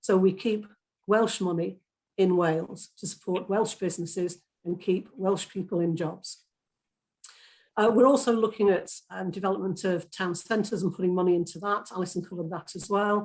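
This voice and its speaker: A woman speaks in a Lancashire accent at a medium pitch, her intonation fairly even. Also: moderate pace. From Lancashire, northern England. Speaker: political candidate. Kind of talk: hustings debate answer.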